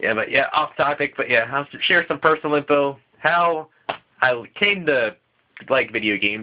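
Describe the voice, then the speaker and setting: A quiet, fairly high-pitched male voice. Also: ordinary pitch variation, moderate pace. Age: young. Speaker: gaming podcast co-host. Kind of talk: solo vlog. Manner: halting.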